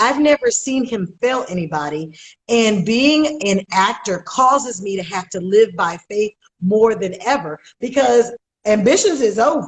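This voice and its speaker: Loud and animated, a woman with a fairly high voice speaks fairly slowly with very wide pitch swings. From Oakland, California. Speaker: actress. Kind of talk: interview.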